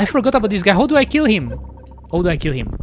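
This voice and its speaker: Noticeable background noise accompanies a speaker with a non-native accent. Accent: peculiar non-native. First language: French. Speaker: VTuber streamer. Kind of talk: casual gaming livestream chat. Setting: livestream with webcam. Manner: hesitant, many fillers.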